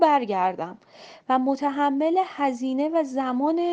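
A woman speaks at a high pitch. Her tone is dark and mellow. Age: 30s. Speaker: travel influencer. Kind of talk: interview.

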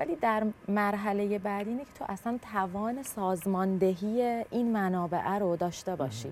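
A woman with a plain, everyday voice speaks at a medium pitch. She leaves hardly any pauses. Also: ordinary pitch variation, moderate pace. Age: 30s. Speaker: startup founder and CEO. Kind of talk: casual chat.

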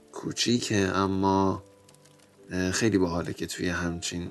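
Over noticeable background noise, a man with a very deep, low pitch speaks at a very slow pace in a monotone, flat intonation. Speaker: podcast host. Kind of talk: guided visualization monologue. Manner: slow, soft.

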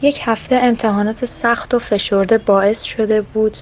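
Over noticeable background noise, a woman speaks with monotone, flat intonation. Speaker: story reader. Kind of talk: reading aloud.

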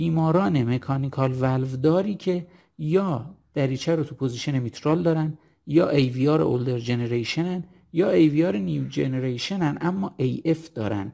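A man's fairly high voice with a dark, mellow tone, lively intonation and a fairly slow pace. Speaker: cardiologist. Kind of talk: lecture. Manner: formal.

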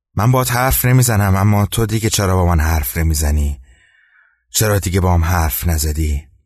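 A man with a very deep, low pitch speaks at a moderate pace with lively intonation, his somewhat breathy voice holding very even loudness over a quiet background. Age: 20s. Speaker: storytelling podcaster. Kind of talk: storytelling narration.

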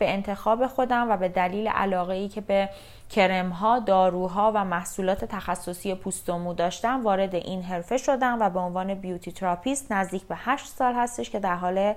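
At a moderate pace and with hardly any pauses, a woman talks in a plain, everyday voice at medium pitch with ordinary pitch variation. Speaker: beauty therapist, podcast host. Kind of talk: scripted podcast introduction.

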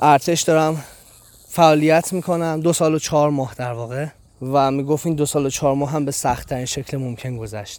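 With a fairly high pitch, a man talks at a fairly quick pace. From Iran. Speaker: travel podcaster. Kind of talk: travelogue narration. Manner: animated.

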